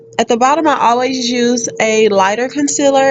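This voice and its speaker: A woman talks at a fairly quick pace with fairly high pitch and ordinary pitch variation. Noticeable background noise is present. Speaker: beauty vlogger. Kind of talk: tutorial voiceover.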